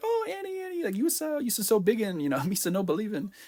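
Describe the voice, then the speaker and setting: This man talks at a very fast pace in a put-on character voice pitched high. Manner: goofy, broken speech.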